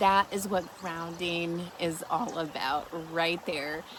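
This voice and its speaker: Over noticeable background noise and audible room echo, a woman with a fairly low pitch speaks at a very slow pace with ordinary pitch variation. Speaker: vlogger and skywatcher. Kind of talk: casual vlog. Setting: outdoors.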